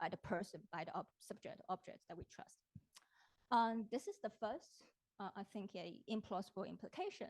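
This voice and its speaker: A woman's fairly high, somewhat breathy voice at a moderate pace, with ordinary pitch variation and a dry, close sound free of echo. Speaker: philosophy professor. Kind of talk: academic talk. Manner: hesitant, many fillers.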